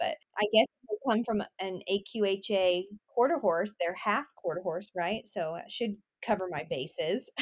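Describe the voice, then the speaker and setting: A woman with an unremarkable speaking voice and an American accent talks at a fairly slow pace, the sound dry and close with no echo. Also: medium pitch for a woman, lively intonation. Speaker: rodeo pageant titleholder. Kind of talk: casual interview.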